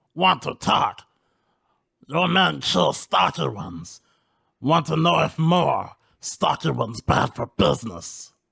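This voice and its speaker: A man in a put-on character voice at medium pitch, fairly slow in pace, with long, frequent pauses. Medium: actual play. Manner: clipped broken speech.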